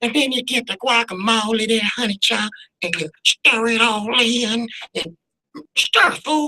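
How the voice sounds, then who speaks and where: At a moderate pace, someone uses a fairly high-pitched put-on character voice. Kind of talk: sassy, colloquial. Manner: exaggerated, sassy, playful.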